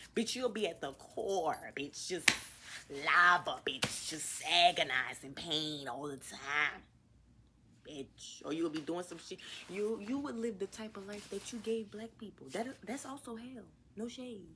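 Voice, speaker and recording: A woman of medium pitch with an American accent, fairly slow, with very wide pitch swings and big swings in loudness. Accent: New Orleans accent, occasional. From US South, New Orleans. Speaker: podcast host. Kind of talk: casual monologue rant. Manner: animated.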